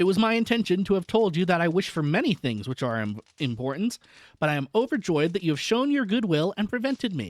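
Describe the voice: The clip is plain reading aloud. Each line is read plainly aloud.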